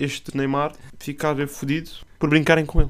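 A man has an ordinary speaking voice with a fairly high pitch. He talks at a fairly quick pace. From Setúbal, Portugal. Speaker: podcast co-host. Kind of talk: casual chat. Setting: studio.

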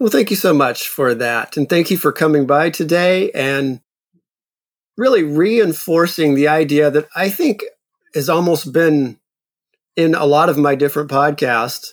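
In a normal speaking voice, a man with an American accent talks at a fairly slow pace, fairly high in pitch, with ordinary pitch variation and very even loudness. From US South. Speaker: podcast host. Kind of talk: interview.

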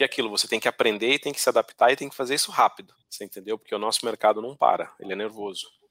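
The sound is dry and close with no echo as a man talks very fast, with hardly any pauses. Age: 30s. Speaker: tech executive. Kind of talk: podcast interview.

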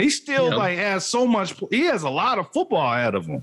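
A man talks at a moderate pace with very wide pitch swings. Noticeable background noise can be heard. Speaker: sports podcast host. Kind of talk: casual chat.

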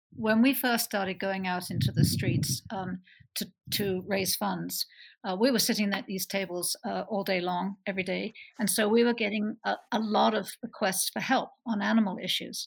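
A woman talks at a moderate pace with an American accent and vocal fry. Her pitch is medium, with ordinary variation. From Bristol, England. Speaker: animal sanctuary co-founder. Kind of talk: interview.

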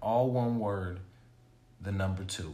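A man speaks at a fairly slow pace, somewhat breathy. His intonation is lively. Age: 30s. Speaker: podcast co-host. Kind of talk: casual chat.

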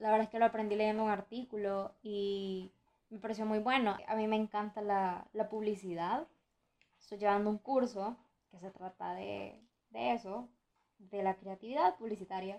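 A woman speaks in a plain, everyday voice at medium pitch and a moderate pace. Her intonation stays fairly even, though her loudness swings widely. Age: young (19). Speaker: podcaster. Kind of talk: casual monologue.

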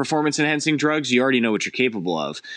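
A man's medium-pitched voice with an American accent and ordinary pitch variation, a plain, everyday voice, over a quiet background. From US Midwest, Cleveland, Ohio. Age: 30s. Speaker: film and commercial director. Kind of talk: casual interview.

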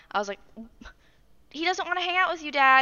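Lively intonation marks this woman's speech. She has an American accent. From Arizona. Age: 20s. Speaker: podcast co-host. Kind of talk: casual chat.

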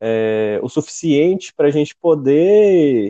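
Recorded dry and close with no echo, a man speaks at a fairly high pitch in a dark, mellow tone. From interior of Minas Gerais, then Formosa, Goiás. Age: 20s. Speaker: podcast co-host, civil engineering graduate. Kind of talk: casual chat.

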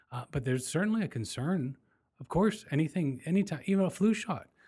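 With lively intonation and a somewhat breathy voice, a man talks at a fairly quick pace. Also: very clean recording, silent background. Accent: American. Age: 40s. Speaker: podcast host. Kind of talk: casual chat.

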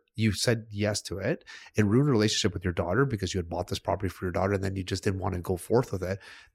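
A man talks at a very fast pace. His voice is fairly low and somewhat breathy. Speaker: podcast host. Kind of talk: casual discussion. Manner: animated, colloquial.

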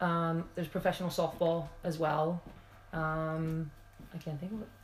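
In an American accent, a woman speaks with a fairly low, somewhat breathy voice and monotone, flat intonation. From Pennsylvania, US. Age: 50s. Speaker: former basketball player. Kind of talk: casual interview chat.

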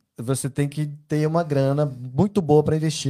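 In a very clean recording with a silent background, a man speaks at a fairly quick pace with a fairly high pitch and a dark, mellow tone. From Belo Horizonte, Brazil. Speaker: podcast host. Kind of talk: casual chat. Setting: at home.

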